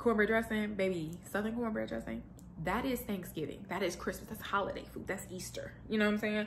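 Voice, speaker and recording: A woman speaks at a fairly quick pace in an animated tone. Room echo is audible. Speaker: lifestyle vlogger. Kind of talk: casual vlog monologue. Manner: fast.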